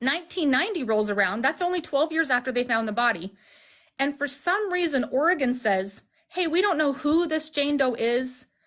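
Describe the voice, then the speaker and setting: Her tone is animated, the woman's pitch high and her intonation lively. Loudness stays very even against a quiet background. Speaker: family member of a missing person. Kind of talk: livestream interview. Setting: livestream video call. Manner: fast.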